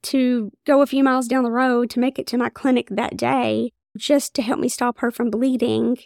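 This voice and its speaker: A woman with a high pitch and an Appalachian accent, ordinary pitch variation, and a dry, close sound with no echo in a very clean recording with a silent background. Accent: Appalachian Kentucky. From Eastern Kentucky, Floyd County. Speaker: OBGYN physician. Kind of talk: interview conversation.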